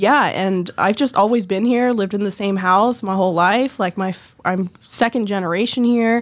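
A woman talks in a plain, everyday voice with an American accent. Her pitch is medium, with ordinary variation, at a moderate pace. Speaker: nonprofit worker. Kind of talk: casual interview.

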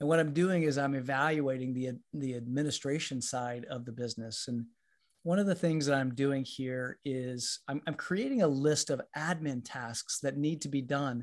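A man speaks at a fairly high pitch and a moderate pace, with ordinary pitch variation. The background is quiet. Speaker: podcast host and leadership consultant. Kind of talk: solo podcast monologue. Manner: halting, many repeated words.

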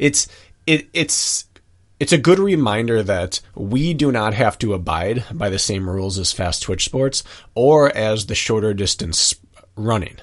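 A man talks in a plain, everyday voice at medium pitch. His intonation is lively and his pace fairly slow. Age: 30s. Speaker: podcast co-host and runner. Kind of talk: casual chat.

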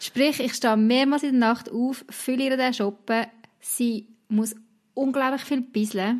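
The speaker has a Swiss accent and a fairly slow pace. Intonation is fairly even throughout. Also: woman, high pitch for a woman, very even loudness. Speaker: podcast host. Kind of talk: casual chat. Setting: video call.

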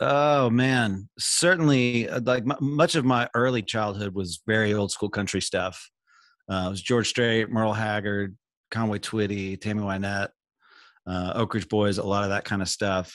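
With an American accent, a plain, everyday voice moves at a moderate pace with ordinary pitch variation in a very clean recording with a silent background. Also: man, fairly low pitch for a man. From US South, Panama City, Florida. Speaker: session and touring guitarist. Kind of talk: interview conversation.

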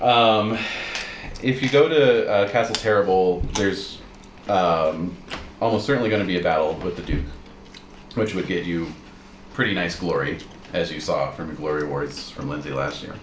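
Noticeable background noise runs under a man's very deep, low voice. He speaks at a moderate pace with long, frequent pauses. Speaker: game master. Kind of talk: tabletop roleplaying game session, narrating and running the game.

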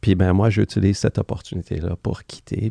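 A man talks at a moderate pace in a dark, mellow tone that is somewhat breathy. The sound is dry and close with no echo, against a quiet background. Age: 50s. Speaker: former Wall Street executive turned spiritual author. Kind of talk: casual interview. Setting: studio.

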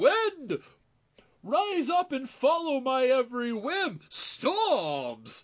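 In a put-on character voice, the speaker talks at a very slow pace and a high pitch. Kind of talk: grandiose, theatrical. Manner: overly enunciated, dramatic, poetic.

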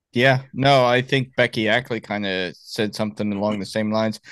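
An unremarkable speaking voice talks at a moderate pace against a quiet background. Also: man. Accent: American. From Miami, Florida. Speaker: podcast host, Marine veteran. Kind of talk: interview.

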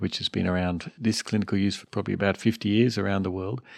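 A man with an Australian accent, very fast pace, fairly low pitch, fairly even intonation and vocal fry, against a quiet background. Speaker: addiction medicine doctor. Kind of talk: casual interview as co-host.

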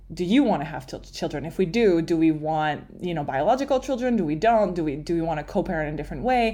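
A woman speaks with a Quebec accent and lively intonation. Her voice is fairly low in pitch, with a dark, mellow tone. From Montreal, Quebec. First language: French. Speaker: writer and performer. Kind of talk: casual interview chat.

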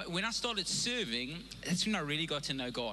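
Through audible room echo and noticeable background noise, a man speaks at a fairly high pitch with lively intonation. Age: 40s. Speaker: pastor. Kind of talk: sermon. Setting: church. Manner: halting, with many repeated words.

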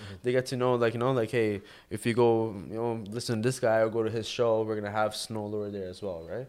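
A man with a Toronto accent at a medium pitch, talking at a very fast pace with fairly even intonation. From Toronto area, Canada. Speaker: vodka brand founder. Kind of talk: casual interview. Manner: halting.

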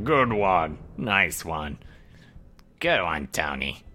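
Putting on a character voice, a man speaks very slowly in a very deep, low pitch that is guttural and raspy. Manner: grunting, laughing.

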